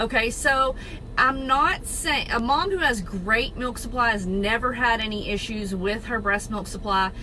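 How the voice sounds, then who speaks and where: A woman speaks at a fairly slow pace with a Southern accent, her pitch fairly high and her tone animated. Audible room echo and noticeable background noise surround her. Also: ordinary pitch variation. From Texas. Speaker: registered nurse and network marketer. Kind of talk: casual informational talk to camera. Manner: animated, chatty.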